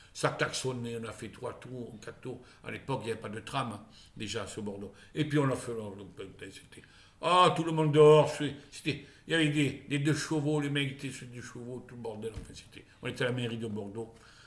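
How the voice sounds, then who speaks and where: Amid audible room echo, a man with a medium-pitched voice speaks at a moderate pace. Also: ordinary pitch variation, big swings in loudness. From Charente, southwestern France. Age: 60s. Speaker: vlogger. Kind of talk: casual monologue vlog. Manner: halting, with many repetitions.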